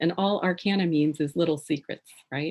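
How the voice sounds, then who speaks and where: A woman speaks softly. Her pace is moderate. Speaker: tarot author and writing presenter. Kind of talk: educational presentation. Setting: video call. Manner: soft-spoken.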